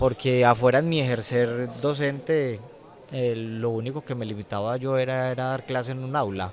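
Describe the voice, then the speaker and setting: Against noticeable background noise, a man speaks at a fairly slow pace, at medium pitch with ordinary pitch variation. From Colombia, Medellín. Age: young. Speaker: prison inmate and former teacher. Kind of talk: testimony interview.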